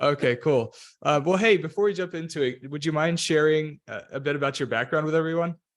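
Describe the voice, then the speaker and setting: An unremarkable speaking voice belongs to a man with an American accent who talks fairly quickly at a fairly high pitch with ordinary pitch variation. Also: quiet background. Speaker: podcast host. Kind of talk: interview podcast. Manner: frequent filler words.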